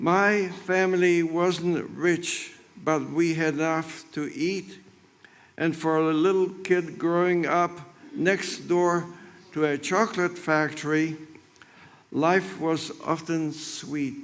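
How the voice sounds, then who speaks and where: A man talks at a very slow pace with fairly even intonation. His voice sits high in pitch. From Poland, Krakow. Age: 90s. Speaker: Holocaust survivor. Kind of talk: testimony. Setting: memorial ceremony.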